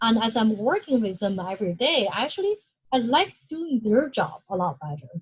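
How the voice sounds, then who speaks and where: A woman's fairly high, somewhat breathy voice with very wide pitch swings and a slight non-native accent. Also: moderate pace. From China. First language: Chinese. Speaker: UX research manager. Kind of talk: lecture. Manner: halting.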